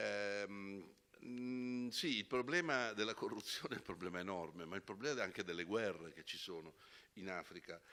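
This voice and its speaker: With an Italian accent, a man speaks at a moderate pace in a fairly low voice that has a bright, sharp tone and ordinary pitch variation. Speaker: panelist, long-time worker in Africa. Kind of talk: panel discussion. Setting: stage with audience.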